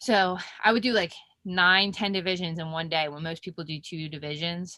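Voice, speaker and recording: Speaking with a Philadelphia accent, a woman uses a bright, sharp tone at a fairly low pitch, with fairly even intonation and a moderate pace, in a dry, close sound with no echo. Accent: Philly. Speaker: professional mixed martial artist. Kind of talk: interview.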